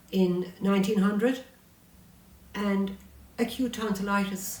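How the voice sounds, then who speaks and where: A woman with a Munster Irish accent speaks fairly slowly at a medium pitch in a monotone, flat intonation, with noticeable background noise behind her. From Ireland, County Tipperary. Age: 70s. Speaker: author and local historian. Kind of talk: interview chat.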